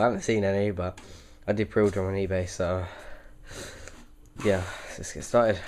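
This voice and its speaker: A man speaks at a moderate pace, his pitch fairly low. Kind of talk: casual talk to camera, card unboxing. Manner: hesitant, casual.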